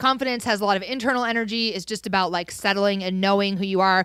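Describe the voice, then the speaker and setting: Loud and fairly quick, a woman of medium pitch speaks with a bright, sharp tone and ordinary pitch variation on a very clean recording with a silent background. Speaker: podcast co-host. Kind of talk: casual chat.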